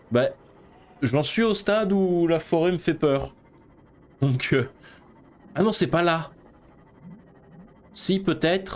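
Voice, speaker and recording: A high-pitched man's voice at a very slow pace, with ordinary pitch variation, very even loudness, and long, frequent pauses. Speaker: gaming streamer. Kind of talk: let's play commentary.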